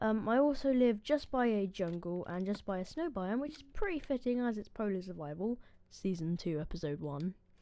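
Her medium pitch swings very widely as the woman talks at a fairly quick pace. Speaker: gaming YouTuber. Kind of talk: gameplay commentary.

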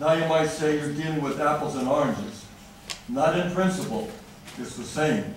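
The recording has noticeable background noise and strong room echo. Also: man. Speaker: resident at public comment. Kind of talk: public comment speech. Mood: critical, earnest. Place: hall.

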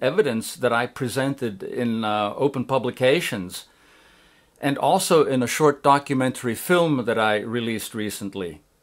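A man speaks at a moderate pace with lively intonation and an unremarkable speaking voice. The recording is very clean, with a silent background. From USA (Swiss citizen). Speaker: scientist and writer. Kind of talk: interview testimony. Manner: formal.

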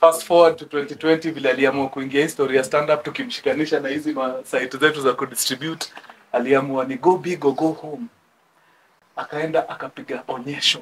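The speaker is a man. He goes at a fairly quick pace with ordinary pitch variation. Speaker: guest. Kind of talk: speech with humorous storytelling. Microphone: camera far.

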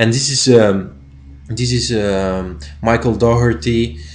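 The pace is very slow. The intonation is lively. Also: man. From Spain. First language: Spanish. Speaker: YouTuber. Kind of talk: casual vlog. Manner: halting. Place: home room. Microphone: webcam.

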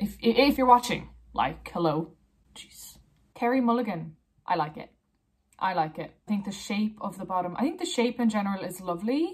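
A somewhat breathy woman speaks with an Irish accent. The background is quiet. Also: lively intonation, moderate pace, big swings in loudness. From Ireland. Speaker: blogger. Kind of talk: casual talk to camera. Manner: playful, judgemental. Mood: playful, judgemental. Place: home room. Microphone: phone near.

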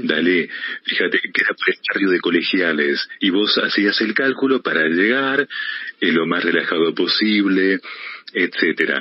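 Over noticeable background noise, a man talks at a fairly slow pace with very even loudness. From Argentina. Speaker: voice-over announcer. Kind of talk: interview answer.

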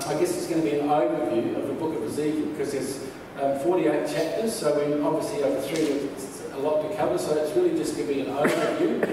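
Over noticeable background noise and strong room echo, a man speaks at a fairly quick pace with fairly even intonation. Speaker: pastor. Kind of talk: church announcements then sermon. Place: church. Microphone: camera far.

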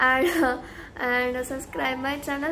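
With a high voice, a woman speaks fairly slowly over light background noise. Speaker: YouTuber. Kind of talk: casual vlog chat. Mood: friendly, chatty. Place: home room. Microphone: phone near.

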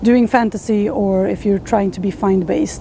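The woman talks at a moderate pace. The sound is dry with no echo, and there is light background noise. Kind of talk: casual explanatory talk to camera. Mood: earnest, thoughtful. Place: forest.

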